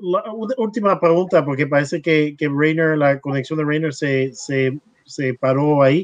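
A man with a fairly high pitch talks at a moderate pace with ordinary pitch variation in a plain, everyday voice. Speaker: livestream host and translator. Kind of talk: casual interview livestream with interpreting. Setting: video call livestream.

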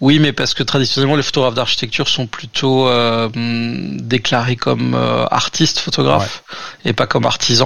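A man talks at a moderate pace with very even loudness. Noticeable background noise runs underneath. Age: 30s. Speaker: architecture photographer. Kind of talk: casual interview. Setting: remote recording.

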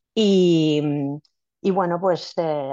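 Woman's voice with a fairly low pitch. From Spain, Villena (Alicante). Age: 50s. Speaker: scientist and amateur runner. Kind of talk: casual interview. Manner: halting, many repetitions and fillers.

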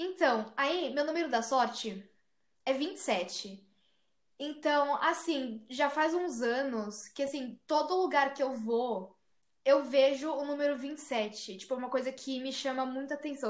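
Pitched high, a woman talks fairly slowly, with ordinary pitch variation. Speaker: podcast co-host. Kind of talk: casual chat.

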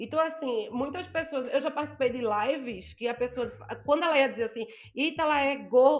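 The speaker is a woman with a high pitch. Her pace is moderate. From Brazil, Northeast. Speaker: blogger and influencer. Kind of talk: casual interview chat.

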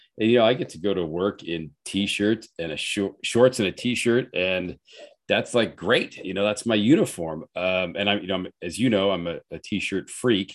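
In a quiet background, a man with a normal speaking voice talks at a fairly low pitch with ordinary pitch variation. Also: moderate pace. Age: 50s. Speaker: personal trainer and gym owner. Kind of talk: casual chat.

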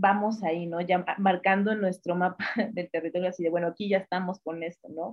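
Here is a woman with an ordinary speaking voice at medium pitch. She keeps a moderate pace and fairly even intonation. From Mexico, northern Veracruz. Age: 30s. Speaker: feminist activist, communications graduate. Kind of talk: interview. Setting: remote call.

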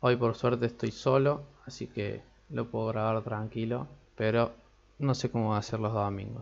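A man's ordinary speaking voice, medium in pitch, at a moderate pace with fairly even intonation. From Argentina. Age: 20s. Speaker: podcast host and psychology student. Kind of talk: casual solo podcast talk. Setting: home recording, alone.

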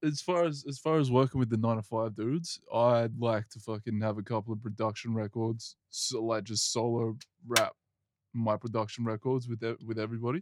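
Against a quiet background, a man talks at a moderate pace and medium pitch with ordinary pitch variation, in dry, close sound with no echo. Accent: Australian.

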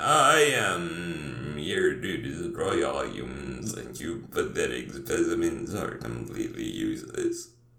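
Using a put-on character voice, a man sounds robotic and raspy at a fairly slow pace. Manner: menacing, mechanical.

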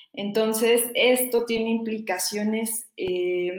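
Fairly high-pitched female speech, its pitch rising and falling in an ordinary way. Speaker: doctoral researcher in environmental studies. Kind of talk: interview. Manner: halting, many fillers; passionate.

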